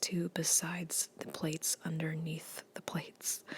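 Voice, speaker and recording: A woman speaks softly at a moderate pace, her fairly low voice somewhat breathy. Her intonation stays monotone and flat, and the sound is dry and close with no echo. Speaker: fitness ASMR creator. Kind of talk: casual talk to camera, workout voiceover. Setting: home gym, recorded on a tablet. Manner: soft-spoken.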